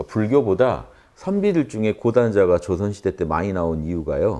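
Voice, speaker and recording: A man with a fairly low pitch speaks at a fairly quick pace. The background is quiet. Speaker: lecturer. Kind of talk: lecture. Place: classroom. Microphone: lapel.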